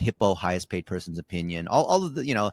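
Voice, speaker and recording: Speaking at a very fast pace with a non-native accent, a man makes very wide pitch swings on a very clean recording with a silent background, dry and close with no echo. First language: not English. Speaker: marketing agency CEO. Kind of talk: interview.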